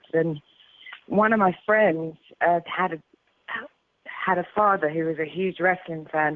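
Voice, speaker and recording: Her voice fairly low and her intonation fairly even, a woman speaks with a British accent. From UK. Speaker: former professional wrestler. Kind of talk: interview.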